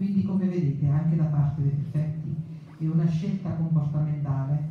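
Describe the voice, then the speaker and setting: A woman speaks with a very deep, low pitch and fairly even intonation. Strong room echo surrounds her voice. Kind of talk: formal public speech. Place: hall.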